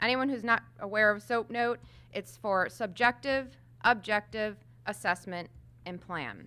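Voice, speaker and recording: The recording is very clean, with a silent background. A woman speaks in a bright, sharp tone at a fairly high pitch. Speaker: home health clinical manager. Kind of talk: conference presentation. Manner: loud.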